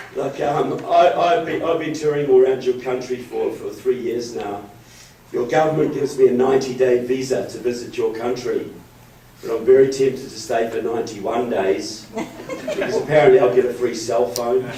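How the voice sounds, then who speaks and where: A man with a New Zealand accent speaks at a moderate pace, his pitch medium with ordinary variation. Noticeable background noise and audible room echo run through the recording. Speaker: author and political speaker. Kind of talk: public speech. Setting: meeting room with audience.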